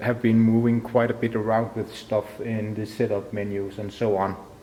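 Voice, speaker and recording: Over noticeable background noise, a man speaks in a monotone, flat delivery at a medium pitch and a moderate pace. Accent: Danish. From Denmark. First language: Danish. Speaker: audio tutorial maker. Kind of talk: tutorial. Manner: halting, many fillers.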